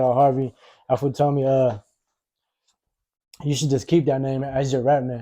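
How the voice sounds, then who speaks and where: In an American accent, a man talks at medium pitch with a dark, mellow tone. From Victorville, California, US. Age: 30s. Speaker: rapper. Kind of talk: casual interview.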